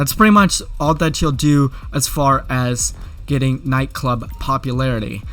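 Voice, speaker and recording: Fairly high-pitched man with music in the background. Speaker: gaming YouTuber. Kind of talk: game tutorial. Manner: fast.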